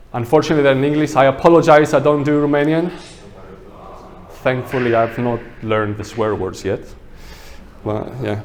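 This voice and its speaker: A man's medium pitch with a non-native accent, ordinary pitch variation, fairly quick pace, long, frequent pauses and noticeable background noise. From Greece. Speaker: landscape architect. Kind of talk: workshop presentation. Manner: casual, conversational.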